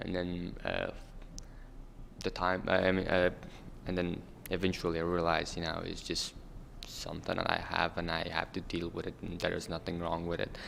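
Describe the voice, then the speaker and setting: A man with a very deep, low pitch and a bright, sharp tone. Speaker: refugee youth panelist. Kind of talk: panel discussion. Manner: halting.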